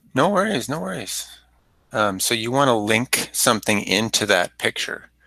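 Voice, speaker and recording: A loud man's voice with a bright, sharp tone and medium pitch, ordinary pitch variation, a moderate pace, and a dry, close sound with no echo. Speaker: teacher trainer. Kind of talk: workshop tutorial. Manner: loud teacher voice.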